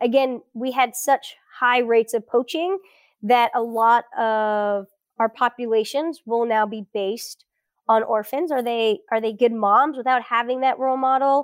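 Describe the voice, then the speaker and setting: A woman with a Florida accent speaks at a fairly slow pace in a high voice with ordinary pitch variation, her sound dry and close with no echo on a very clean recording over a silent background. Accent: general American, Florida. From South Florida. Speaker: elephant researcher. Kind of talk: interview conversation.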